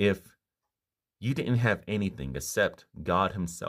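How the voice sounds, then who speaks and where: A man with vocal fry and ordinary pitch variation against a quiet background. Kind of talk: informal sermon. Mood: earnest, calm. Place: home room. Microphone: phone near.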